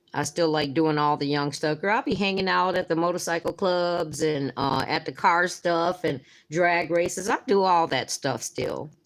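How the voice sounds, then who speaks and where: An unremarkable speaking voice at a moderate pace with ordinary pitch variation and hardly any pauses, in a very clean recording with a silent background. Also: woman, fairly low pitch for a woman. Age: 60s. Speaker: nail art youtuber. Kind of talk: live stream chat and tutorial. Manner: casual, chatty.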